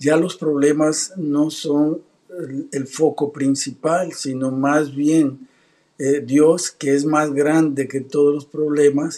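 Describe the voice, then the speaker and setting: Against a quiet background, a man speaks at a very slow pace in a dark, mellow tone with monotone, flat intonation. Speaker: pastor. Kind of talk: religious talk show host interview. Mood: warm, smiling. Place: home room.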